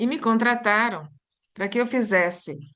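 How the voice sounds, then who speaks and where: A woman speaks at a moderate pace in an Italian accent. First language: Italian (speaking Portuguese). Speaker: language teacher and workshop host. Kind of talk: online teacher workshop discussion. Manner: thinking aloud, halting with repetitions.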